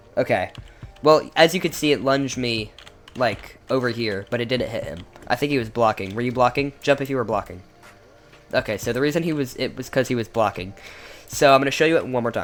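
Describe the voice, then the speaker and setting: Music in the background behind a man at a fairly quick pace. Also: medium pitch for a man, ordinary pitch variation. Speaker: gaming video creator. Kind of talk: gameplay showcase commentary. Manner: halting, many fillers and restarts; casual.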